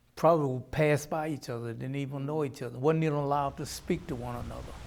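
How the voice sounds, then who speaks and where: Talking very fast with a Southern US accent, a man keeps a fairly high pitch and fairly even intonation. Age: 70s. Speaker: reform school survivor and war veteran. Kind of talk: testimony.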